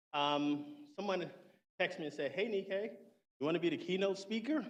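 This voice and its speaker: A high-pitched man with an American accent, fairly quick and lively in intonation. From US South, Low Country South Carolina. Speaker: keynote speaker, army veteran. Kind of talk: keynote speech. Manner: halting, with many fillers.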